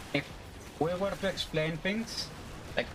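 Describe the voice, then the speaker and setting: A man speaks in a Greek accent with fairly even intonation. Noticeable background noise sits behind him. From Greece. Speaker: video game streamer. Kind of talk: live gameplay stream, casual chat with viewers. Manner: loud; halting, many fillers.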